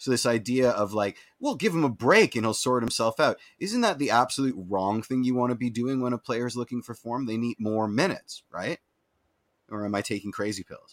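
A man with a Canadian accent and medium pitch, ordinary pitch variation, fairly quick pace, and a dry, close sound with no echo. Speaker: football fan podcast co-host. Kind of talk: casual chat. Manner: loud, no inside voice.

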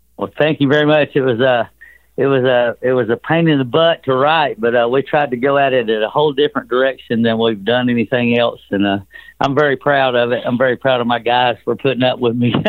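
Speaking at a fairly quick pace with a Southern US accent, a man keeps a medium pitch, fairly even intonation and very even loudness. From US South. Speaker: rock musician. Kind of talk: casual interview. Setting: phone call.

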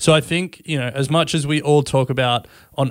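A man with an Australian accent speaks in a fairly even intonation, recorded very cleanly against a silent background. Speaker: podcast co-host. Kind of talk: casual chat.

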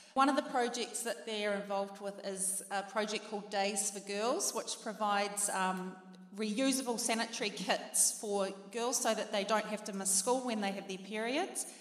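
A woman with a New Zealand accent, medium pitch, fairly even intonation and a moderate pace. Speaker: charity representative. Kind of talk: charity appeal. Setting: stage with audience.

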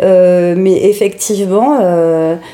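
Noticeable background noise sits behind a woman's voice. She speaks at medium pitch with ordinary pitch variation. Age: 40s. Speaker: makeup artist. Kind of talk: interview testimony. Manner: hesitant, many fillers.

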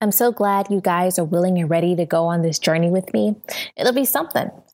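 Speaking at a fairly quick pace, a woman with an American accent and an unremarkable speaking voice has a fairly low pitch and ordinary pitch variation on a very clean recording with a silent background. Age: 30s. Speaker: podcast host. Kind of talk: solo podcast monologue.

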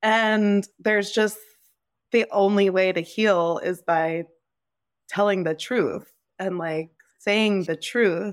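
A woman with a New Jersey accent at a very slow pace, fairly even in intonation, with long, frequent pauses, on a very clean recording with a silent background. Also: medium pitch for a woman. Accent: American (New Jersey). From US Northeast (New Jersey). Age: 30s. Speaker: nonprofit founder. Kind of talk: interview conversation.

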